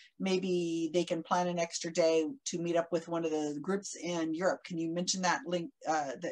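At a moderate pace, a woman with a normal speaking voice talks in a fairly low pitch with fairly even intonation. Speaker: conference moderator. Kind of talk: casual introduction. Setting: video call. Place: home room. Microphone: video call.

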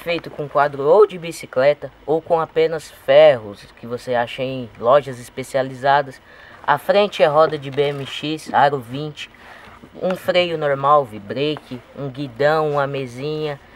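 A man's voice, recorded dry with no echo. His loudness swings widely. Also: ordinary pitch variation, fairly slow pace. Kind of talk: explainer interview answer. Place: street.

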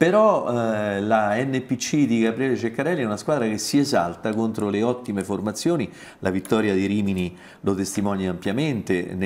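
This man has a fairly low pitch, ordinary pitch variation and a moderate pace. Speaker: sports journalist. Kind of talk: casual chat. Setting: studio. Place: studio. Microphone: lapel.

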